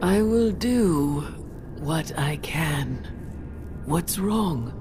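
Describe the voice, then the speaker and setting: A put-on character voice at a middle pitch, spoken at a very slow pace. Loud background noise fills the clip. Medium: video game. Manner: slow, solemn.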